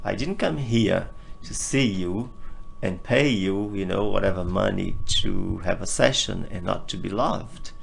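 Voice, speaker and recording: A man talks at a fairly slow pace with a fairly low pitch and ordinary pitch variation. There is audible room echo and music in the background. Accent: Portuguese. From northeast Brazil. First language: Portuguese. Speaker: interview guest sharing personal healing journey. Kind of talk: personal testimony in interview.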